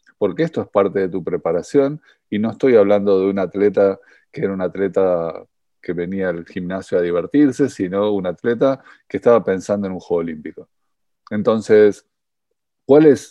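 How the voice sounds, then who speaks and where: With a Rioplatense accent, a man talks at a moderate pace in a fairly low pitch, with ordinary pitch variation. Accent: Argentine Spanish (Rioplatense voseo). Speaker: rowing coach and podcast host. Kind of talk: interview.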